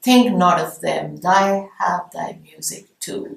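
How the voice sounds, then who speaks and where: A woman's voice in an Indian accent with ordinary pitch variation. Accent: Indian intonation. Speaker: English literature professor. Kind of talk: lecture. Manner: explanatory, measured.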